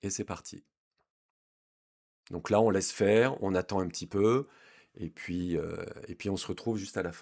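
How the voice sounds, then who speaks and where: A man with a fairly low pitch speaks at a moderate pace with fairly even intonation, big swings in loudness, and long, frequent pauses. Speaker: DIY electronics youtuber. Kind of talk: tutorial. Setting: garage basement. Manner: hesitant, with fillers.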